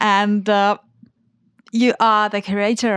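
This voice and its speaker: A woman with a Finnish accent in a dry, close sound with no echo. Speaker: podcast host. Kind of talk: interview. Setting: studio.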